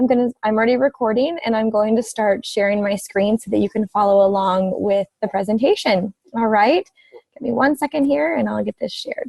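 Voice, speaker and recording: A woman talks at a fairly quick pace in a fairly high, somewhat breathy voice. Her pitch variation is ordinary. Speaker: direct sales presenter. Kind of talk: webinar presentation. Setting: online webinar with screen sharing.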